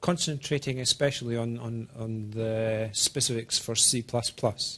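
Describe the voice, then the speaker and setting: Speaking at a fairly slow pace, the man sounds somewhat breathy. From Scotland. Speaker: software engineer presenting developer tools. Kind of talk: technical presentation. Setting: talk with small live audience. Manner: slow, deliberate.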